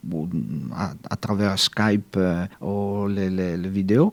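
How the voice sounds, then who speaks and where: With an Italian accent, a man speaks very slowly in a fairly low voice with a dark, mellow tone. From Italy. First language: Italian (speaking French). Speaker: novelist and journalist. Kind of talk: radio interview. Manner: halting.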